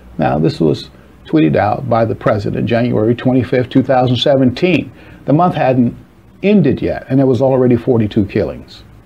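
A man with a normal speaking voice talks at a moderate pace and medium pitch, his intonation lively and his loudness very even. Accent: American. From US Midwest, Chicago. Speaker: advocate pitching a humanitarian housing project. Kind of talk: scripted narration. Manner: formal.

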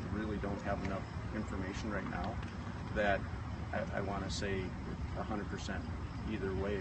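A man talks at a fairly quick pace over loud background noise, in a dry recording with no echo. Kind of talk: press interview answer. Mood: calm, careful, measured. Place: street.

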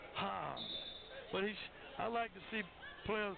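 Over noticeable background noise, a man speaks enthusiastically in a high pitch at a fairly slow pace. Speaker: color commentator. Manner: conversational, enthusiastic analyst.

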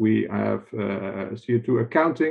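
A man's voice shows ordinary pitch variation, with a quiet background behind it. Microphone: webcam.

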